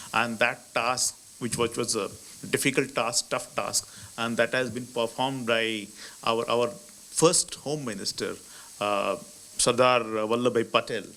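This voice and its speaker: Speaking with an Indian accent at a fairly slow pace, a man with a medium pitch uses a bright, sharp tone and fairly even intonation, leaving long, frequent pauses. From India, Maharashtra. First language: Marathi. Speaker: ambassador. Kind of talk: lecture. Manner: halting.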